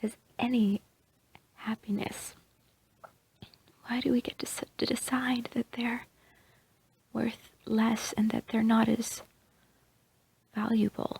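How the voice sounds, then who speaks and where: A soft-spoken woman whispers at a very slow pace with long, frequent pauses, the sound dry and close with no echo. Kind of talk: ASMR roleplay. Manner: soft-spoken, whispered.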